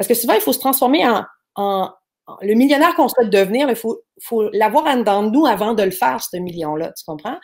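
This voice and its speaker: In a Quebec accent, the speaker goes at a fairly quick pace with big swings in loudness. The recording is very clean, the background silent. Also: woman, fairly high pitch for a woman. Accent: Québécois French. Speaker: online entrepreneur. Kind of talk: interview. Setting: live stream.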